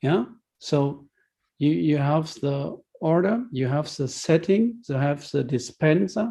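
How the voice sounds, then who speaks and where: A man with a dark, mellow tone and a fairly high pitch speaks very slowly and somewhat breathily, his intonation lively. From Germany. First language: German. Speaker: healthcare technology expert speaker. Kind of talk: webinar Q&A answer. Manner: halting.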